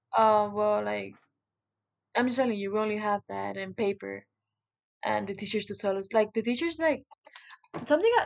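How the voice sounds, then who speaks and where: A woman with a Spanish accent at a moderate pace, with long, frequent pauses. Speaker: interviewee, Cuban immigrant. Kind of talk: interview. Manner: halting, many fillers.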